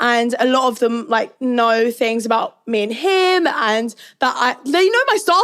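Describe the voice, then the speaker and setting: A woman with a British accent. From Northern Cyprus. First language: Turkish. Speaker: reality TV contestant. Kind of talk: casual interview chat. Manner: loud.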